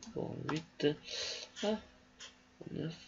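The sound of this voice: Husky and rough-edged, this man's voice carries vocal fry. It sits fairly high, with ordinary pitch variation.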